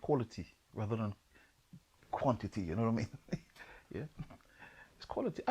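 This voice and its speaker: A man's somewhat breathy, dark, mellow voice at a medium pitch, very fast yet with long, frequent pauses, big swings in loudness, ordinary pitch variation, and a dry, close sound with no echo. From Trinidad. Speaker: poet, producer, voice-over artist. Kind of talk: interview answer.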